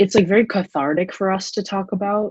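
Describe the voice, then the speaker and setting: A woman at a moderate pace. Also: dry, close sound with no echo. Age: 20s. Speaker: podcast co-host. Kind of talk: casual chat. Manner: hesitant, many fillers.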